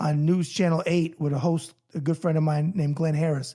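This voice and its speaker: In a New York accent, a man speaks with fairly even intonation at a fairly high pitch, on a very clean recording with a silent background. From New York, then Florida. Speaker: boxing journalist and Navy veteran. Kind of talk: casual interview chat.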